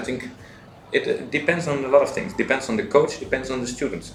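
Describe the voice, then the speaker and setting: With audible room echo around him, a man talks at a fairly quick pace. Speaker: university teacher, coach. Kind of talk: interview.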